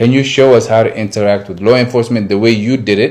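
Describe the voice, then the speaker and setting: Over a very clean recording with a silent background, a man with an American accent speaks at a fairly quick pace in a plain, everyday voice of medium pitch. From Somali community in the US. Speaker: community activist. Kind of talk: interview. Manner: code-switching Somali and English.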